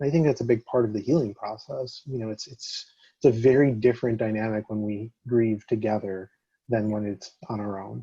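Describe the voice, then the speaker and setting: Somewhat breathy and dark, mellow in tone, a man's medium-pitched voice moves at a fairly quick pace with fairly even intonation and big swings in loudness. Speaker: panelist in ministry. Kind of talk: webinar panel discussion.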